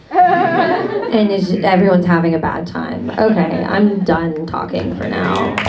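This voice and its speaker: A woman with an American accent at medium pitch and fairly even intonation, with audible room echo and noticeable background noise. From Rochester, New York. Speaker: stand-up comedian and judge. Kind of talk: stand-up. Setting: stage with audience.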